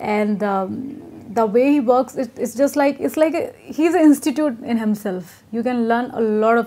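A woman with an Indian accent, a dark, mellow tone and lively intonation at a moderate pace. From Etawah, Uttar Pradesh, India. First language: Hindi. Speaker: Bollywood actress. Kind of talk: casual interview. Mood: relaxed, laughing, candid. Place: home room. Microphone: lapel.

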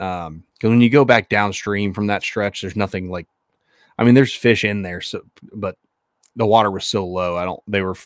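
A fairly low-pitched male voice at a fairly quick pace, with fairly even intonation, dry sound with no echo and a quiet background. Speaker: podcast co-host. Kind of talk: casual podcast conversation. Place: home room. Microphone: studio mic.

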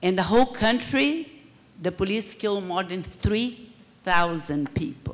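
Speaking at a very slow pace, a woman with a Brazilian accent lets her pitch swing very widely. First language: Portuguese. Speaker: public security researcher. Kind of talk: conference panel talk. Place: hall. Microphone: handheld.

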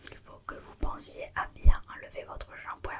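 Soft-spoken woman with a soothing tone, at a fairly slow pace, over loud background noise. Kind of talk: ASMR roleplay check-up talk. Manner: soft, soothing close-up voice.

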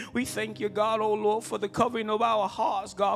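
A high-pitched man at a moderate pace, light background noise behind him. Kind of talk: spoken prayer. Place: church. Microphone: handheld.

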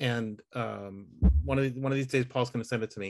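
A man's speech carries ordinary pitch variation against a quiet background. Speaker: user group host. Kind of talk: casual chat. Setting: video call. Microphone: video call.

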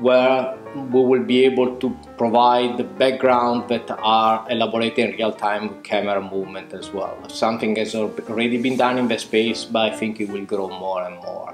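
Over clear music in the background and with audible room echo, a man with an Italian accent speaks at a moderate pace with fairly even intonation. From Italy. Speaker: visual effects department head. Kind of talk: interview answer. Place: home room.

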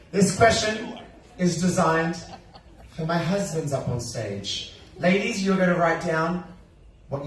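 Speaking at a moderate pace, a man leaves long, frequent pauses, with audible room echo and light background noise. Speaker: show host. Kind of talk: game show hosting. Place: stage.

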